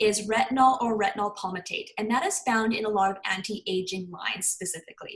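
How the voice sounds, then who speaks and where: Somewhat breathy, a woman speaks at a fairly quick pace with a fairly high pitch and ordinary pitch variation. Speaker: clean beauty consultant. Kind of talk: online presentation. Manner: fast; animated.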